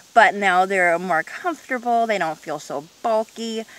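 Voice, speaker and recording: Amid noticeable background noise, the speaker keeps a moderate pace with ordinary pitch variation. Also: woman. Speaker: vlogger. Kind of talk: casual video monologue. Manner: hesitant, many fillers.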